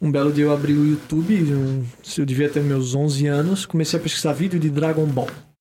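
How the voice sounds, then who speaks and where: Noticeable background noise is present throughout. The talking keeps a moderate pace, with ordinary pitch variation. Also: man, very even loudness. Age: 20s. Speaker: podcaster and singer. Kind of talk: casual chat.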